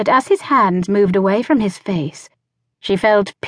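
Ordinary pitch variation in a natural reading voice against a quiet background

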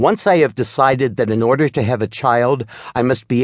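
This man has a normal speaking voice at a medium pitch, with lively intonation. He goes at a moderate pace, and the sound is dry and close with no echo. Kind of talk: audiobook narration of a reflective spiritual text. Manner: measured, solemn, even-paced reading.

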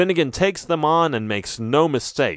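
A man's dramatic, animated delivery with very wide pitch swings, at a moderate pace against a quiet background. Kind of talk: scripted audiobook narration of a children's adventure story. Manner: dramatic, animated storytelling with sound effects and character lines.

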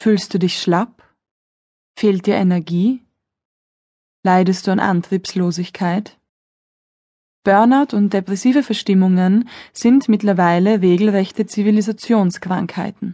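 Over a quiet background, a calm, soothing voice with a dark, mellow tone moves at a fairly slow pace with long, frequent pauses, very even loudness and fairly even intonation. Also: woman, medium pitch for a woman. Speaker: audiobook narrator and yoga instructor. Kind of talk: guided meditation. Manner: calm, slow, soothing; instructive, gentle, measured.

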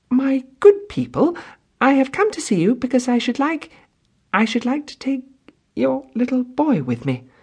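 Shaky and fairly high in pitch, a put-on character voice moves at a fairly slow pace.

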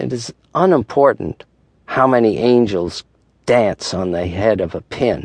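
A man with a medium-pitched voice speaks in a dramatic tone at a fairly slow pace. His intonation is lively. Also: dry, close sound with no echo. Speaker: audiobook narrator. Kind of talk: audiobook narration of meditation reflections, reflective and dramatic. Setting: studio. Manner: measured, wry, dramatic, with pauses for effect.

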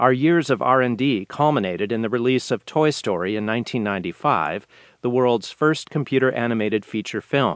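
Speaking at a fairly quick pace in an ordinary speaking voice, this talker uses lively intonation over a quiet background. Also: man, medium pitch for a man. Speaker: audiobook narrator. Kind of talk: audiobook reading of a business article, formal and polished. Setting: studio. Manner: measured, steady, clear; formal, authoritative.

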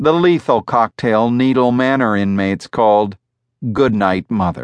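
At a fairly slow pace, a man with a plain, everyday voice speaks at medium pitch with lively intonation, recorded dry and close with no echo against a quiet background. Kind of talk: audiobook narration of a horror story. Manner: measured, formal, with an ominous tone.

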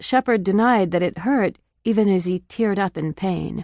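In an ordinary speaking voice, a woman talks fairly slowly at medium pitch with ordinary pitch variation, the sound dry and close with no echo over a quiet background. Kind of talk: audiobook narration. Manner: even, measured storytelling pace, warm and earnest; gently emotional, reflective, restrained.

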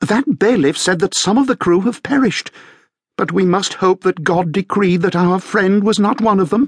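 Doing a put-on character voice, a man speaks gruffly at a moderate pace in a high pitch with ordinary pitch variation and very even loudness, the sound dry and close with no echo. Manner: piping, contrasting with gruff companions.

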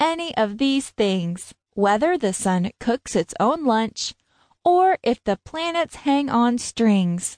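A woman's high voice, warm and dramatic, with very wide pitch swings, very even loudness, a very slow pace, a dry, close sound with no echo, and a quiet background. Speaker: audiobook narrator. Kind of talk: scripted narration, children's rhyming book read aloud. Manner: animated, playful, sing-song rhythm with wonder; warm, dramatic pauses and curious 'Hmm' musing.

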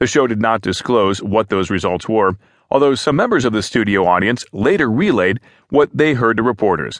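At a moderate pace, a man speaks in a normal speaking voice of medium pitch with ordinary pitch variation, the sound dry and close with no echo over a quiet background. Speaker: news narrator. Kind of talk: formal news reading of written articles, scripted and neutral. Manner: even, measured, steady newsreader pace with neutral delivery; formal, clear enunciation, reads quotes without acting.

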